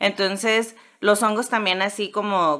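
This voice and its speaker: In a Mexican accent, a woman speaks with a bright, sharp tone at a moderate pace on a very clean recording with a silent background. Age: 30s. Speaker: podcaster on mycology, comedian. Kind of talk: casual chat.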